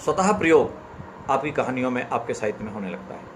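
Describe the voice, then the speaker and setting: This is a man speaking at a medium pitch. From central India, Chambal region (Ashoknagar, Madhya Pradesh). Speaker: author. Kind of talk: live-stream talk and story reading.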